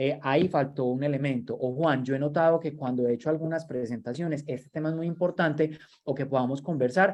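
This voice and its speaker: A man with an unremarkable speaking voice, fairly high in pitch, at a fairly quick pace with ordinary pitch variation. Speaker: workshop trainer. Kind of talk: online training lecture.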